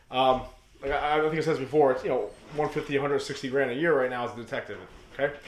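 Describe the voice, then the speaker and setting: Audible room echo surrounds this recording. A man talks at a very fast pace. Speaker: reptile breeder and YouTuber. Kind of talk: rant. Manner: casual.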